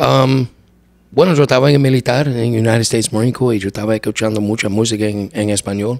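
A man talks at a very fast pace with ordinary pitch variation. The recording is dry with no echo and has a quiet background. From US, Brooklyn New York; New York. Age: 50s. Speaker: singer of a norteño band; podcast guest. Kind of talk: casual interview. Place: home room. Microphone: studio mic.

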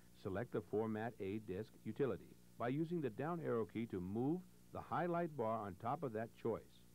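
Using a normal speaking voice, a man at medium pitch talks at a moderate pace with lively intonation. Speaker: instructional video narrator. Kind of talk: scripted 1980s instructional-video narration, step-by-step tutorial. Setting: voiceover over on-screen computer demonstration. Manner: clear, measured, formal, patient.

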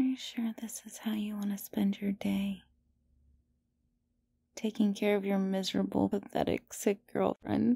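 Soft-spoken at a fairly slow pace with long, frequent pauses, the voice sounds dry with no echo over a quiet background. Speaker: roleplay voice actor. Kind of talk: intimate audio roleplay, soft talk to listener. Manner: sleepy, soft, sickly girlfriend voice.

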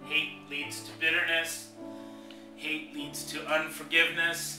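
Clear music plays behind a man talking at a very slow pace. His fairly high voice carries audible room echo. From Hong Kong. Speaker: pastor. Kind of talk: spoken word poetry, sermon-like. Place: home room. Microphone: webcam.

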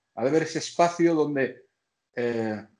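The background stays quiet. A man's voice sits fairly high in pitch. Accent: Catalan. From Catalonia. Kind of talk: casual chat. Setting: video call. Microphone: video call.

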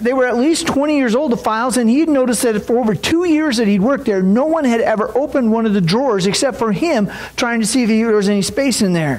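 At a fairly quick pace, a man talks in an extremely high pitch with ordinary pitch variation. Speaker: preacher. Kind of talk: sermon. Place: church.

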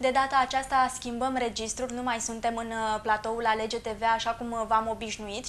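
Amid light background noise, a woman speaks at a moderate pace with a high pitch and monotone, flat intonation. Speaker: TV health show host. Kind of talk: TV show intro and interview questions. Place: office.

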